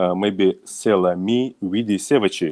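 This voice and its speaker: A man with a Russian accent speaks with ordinary pitch variation in a dry, close sound with no echo on a very clean recording with a silent background. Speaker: company manager. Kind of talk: business presentation. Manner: halting.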